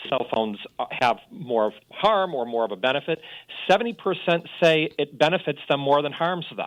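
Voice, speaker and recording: A man talks at a fairly quick pace. His intonation is lively. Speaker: data researcher segment contributor. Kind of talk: radio talk segment. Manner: loud.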